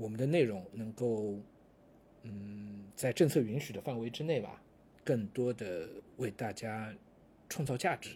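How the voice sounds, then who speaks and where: A man speaks at a fairly slow pace with long, frequent pauses and big swings in loudness, his voice somewhat breathy at a medium pitch with ordinary pitch variation. The recording is very clean, with a silent background. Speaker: podcast host and online course lecturer. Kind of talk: casual monologue. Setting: office.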